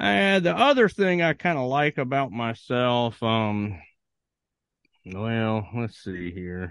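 A man at a medium pitch with an American accent, very slow, with very wide pitch swings, against a quiet background. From Virginia. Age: 40s. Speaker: author. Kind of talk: casual chat.

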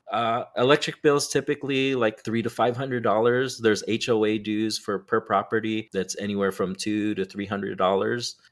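In an ordinary speaking voice at a medium pitch, a man talks at a moderate pace with hardly any pauses, in a very clean recording with a silent background. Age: 40s. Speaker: respiratory therapist and real estate investor. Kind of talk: casual interview.

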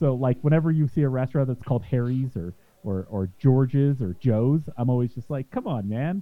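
A man speaks with an American accent at a fairly quick pace, his pitch varying in an ordinary way. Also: medium pitch for a man. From Utah. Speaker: homebrewing podcaster. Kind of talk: casual chat. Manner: halting, repeats words.

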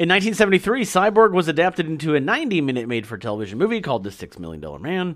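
A man's fairly high voice with vocal fry, very fast and with hardly any pauses, swinging very widely in pitch. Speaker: podcast host. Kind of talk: casual chat.

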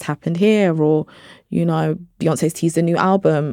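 On a very clean recording with a silent background and a dry, close sound with no echo, a woman with a London accent speaks with a very deep, low pitch and a dark, mellow tone. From South London (Brixton), British Nigerian. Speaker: journalist and producer. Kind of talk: casual interview.

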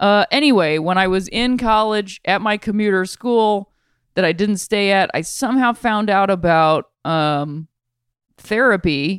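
A normal speaking voice with an American accent, at a fairly slow pace with ordinary pitch variation, in a dry, close sound with no echo and a very clean recording, silent background. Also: woman, medium pitch for a woman. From Ohio, Akron. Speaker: podcast host. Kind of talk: casual chat.

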